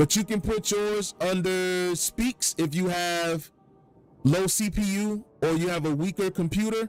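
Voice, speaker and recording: Loud and high-pitched, a man speaks with music playing in the background. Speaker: gaming streamer. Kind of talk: tutorial.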